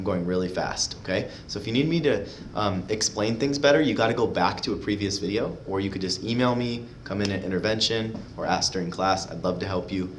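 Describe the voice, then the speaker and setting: A man talks at a fairly quick pace in a fairly low pitch, with ordinary pitch variation. Audible room echo and noticeable background noise run through the clip. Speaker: math teacher. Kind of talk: tutorial. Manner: fast; casual, filler-heavy.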